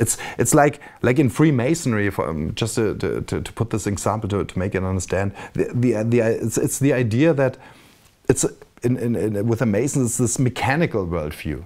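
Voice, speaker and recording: A man with a German accent and lively intonation. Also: medium pitch for a man, moderate pace. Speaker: video blogger. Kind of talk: casual monologue. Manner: halting, many repetitions.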